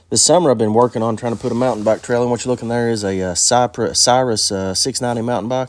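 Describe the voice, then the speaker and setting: A man's very fast speech with ordinary pitch variation, on a very clean recording with a silent background. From eastern Kentucky. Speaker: vlogger, seasonal off-grid worker. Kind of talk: casual vlog narration. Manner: halting, many fillers.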